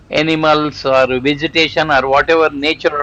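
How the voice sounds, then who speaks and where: A man at a fairly high pitch, talking at a moderate pace. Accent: Telugu. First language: Telugu. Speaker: homeopathic doctor and inspirational vlogger. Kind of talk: motivational vlog. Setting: outdoors on a walk. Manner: halting.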